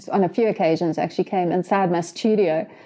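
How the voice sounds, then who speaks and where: This woman talks at a moderate pace with a medium pitch and a dark, mellow tone. Her intonation stays fairly even over a quiet background. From South Africa, KwaZulu-Natal. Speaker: wildlife artist. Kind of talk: interview.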